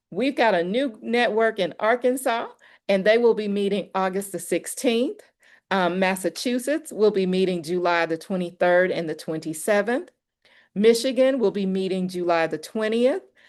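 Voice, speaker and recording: At a moderate pace, the speaker uses an unremarkable speaking voice with ordinary pitch variation. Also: woman, medium pitch for a woman. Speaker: organizer hosting a network call. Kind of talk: announcements on a community call.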